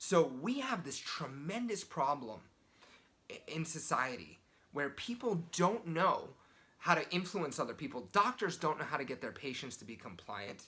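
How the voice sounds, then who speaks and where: Quiet overall, a man speaks at a moderate pace with a fairly high pitch, very wide pitch swings and big swings in loudness. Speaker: sales and persuasion coach. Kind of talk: motivational talk to camera. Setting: hotel room. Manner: kept quiet, voice held down.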